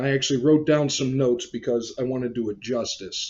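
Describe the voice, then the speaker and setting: A man with an unremarkable speaking voice talks at a moderate pace, his medium pitch rising and falling in an ordinary way. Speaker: collector channel host and interviewer. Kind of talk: casual talk to camera.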